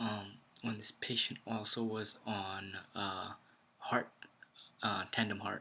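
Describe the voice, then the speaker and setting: Quiet and at a very slow pace, a man speaks in a bright, sharp tone with monotone, flat intonation. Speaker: ICU nurse vlogger. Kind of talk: casual vlog talk. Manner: quiet, kept low.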